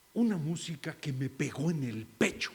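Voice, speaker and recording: Lively intonation marks this man's fairly high voice. He speaks at a fairly slow pace. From Mexico, Mazatlán, Sinaloa. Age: 60s. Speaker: acting teacher and theatre director. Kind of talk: keynote talk. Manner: halting.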